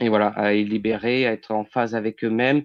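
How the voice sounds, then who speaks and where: A man speaks at a medium pitch with a flat, monotone delivery. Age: 30s. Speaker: medium and healer. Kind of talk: interview. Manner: hesitant, many fillers.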